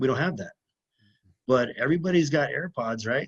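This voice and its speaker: A man's fairly high voice comes through against a quiet background. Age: 30s. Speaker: lineman, former police officer. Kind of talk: podcast interview.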